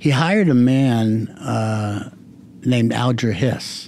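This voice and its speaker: A man speaks with an American accent. Audible room echo colors the recording. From southern California. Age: 60s. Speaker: retired insurance executive. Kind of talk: interview. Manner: halting.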